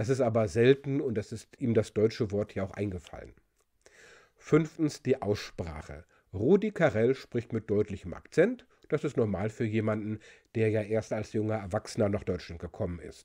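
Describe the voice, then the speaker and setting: Over a quiet background, a man talks at a moderate pace with a fairly low pitch and a dark, mellow tone. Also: ordinary pitch variation. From Germany. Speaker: linguist and video presenter; presenter. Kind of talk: explainer video. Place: home room. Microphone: studio mic.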